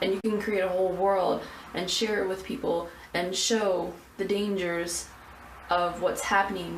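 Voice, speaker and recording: With audible room echo and noticeable background noise, a woman speaks at a medium pitch with fairly even intonation. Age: 20s. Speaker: college student. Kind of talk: personal video answering questionnaire. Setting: filming in a bathroom. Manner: halting, stuttering; rambling.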